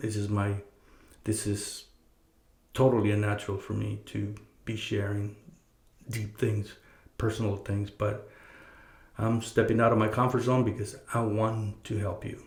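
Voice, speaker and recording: In a fairly low, somewhat breathy voice, a man speaks in a flat monotone at a fairly slow pace with long, frequent pauses. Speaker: podcast host. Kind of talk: casual advice monologue. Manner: halting, many fillers and repeated words.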